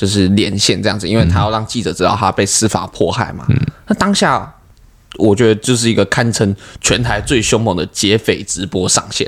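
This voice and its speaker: At a moderate pace and with ordinary pitch variation, this is an ordinary speaking voice. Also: man, fairly low pitch for a man. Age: 20s. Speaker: comedian. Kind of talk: casual chat.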